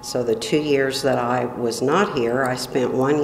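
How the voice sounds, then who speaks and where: A woman's very deep, low voice at a very slow pace, with audible room echo and music in the background. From Illinois, US Midwest. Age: 60s. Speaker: oral history interviewee. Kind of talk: oral history interview. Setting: library meeting room.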